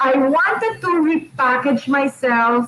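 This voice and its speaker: With ordinary pitch variation, a woman speaks in a high pitch against noticeable background noise. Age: 60s. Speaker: radio host. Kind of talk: casual chat.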